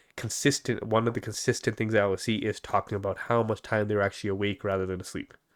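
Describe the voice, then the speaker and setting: Talking at a very fast pace with hardly any pauses, a man uses a fairly low pitch. The recording is very clean, with a silent background. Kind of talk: casual chat. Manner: animated.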